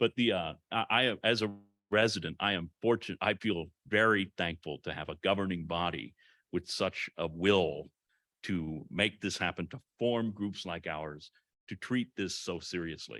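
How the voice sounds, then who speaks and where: A man's very deep, low voice, bright and sharp in tone, with ordinary pitch variation on a very clean recording with a silent background and a dry, close sound with no echo. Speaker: climate task force member presenting. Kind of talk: public meeting remarks. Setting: public meeting with amplification. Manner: loud.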